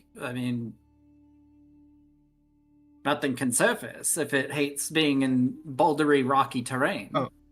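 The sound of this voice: Music plays in the background as a woman speaks very slowly at a very deep, low pitch with ordinary pitch variation. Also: long, frequent pauses.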